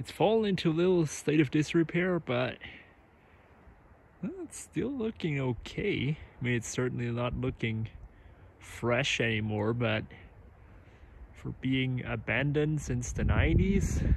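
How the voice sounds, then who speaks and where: Speaking at a fairly slow pace with long, frequent pauses, a man sounds somewhat breathy in a dry recording with no echo. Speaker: vlogger filming a tour. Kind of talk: casual vlog chat. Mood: awed, relaxed. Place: open country. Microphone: phone near.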